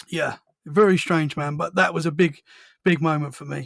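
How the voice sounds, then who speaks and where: At a moderate pace, a man with a British accent talks in a fairly high voice. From Essex, England. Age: 30s. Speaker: podcast host. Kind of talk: casual chat.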